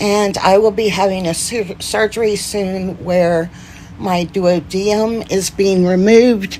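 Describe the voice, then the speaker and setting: A woman speaks at a very slow pace. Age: 50s. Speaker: Parkinson's disease advocate. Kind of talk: casual talk to camera.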